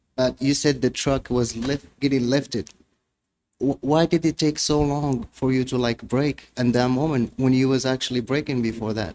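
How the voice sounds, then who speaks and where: With a non-native accent, a man speaks at a moderate pace and medium pitch, keeping his intonation fairly even. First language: not English. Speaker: defendant representing himself. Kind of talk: courtroom cross-examination. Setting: courtroom.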